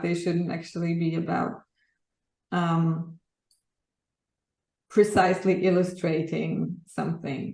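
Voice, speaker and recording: In a Polish accent, a woman with a fairly low pitch and a dark, mellow tone speaks at a fairly slow pace with vocal fry. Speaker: graphic artist. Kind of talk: interview. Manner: hesitant, with many fillers.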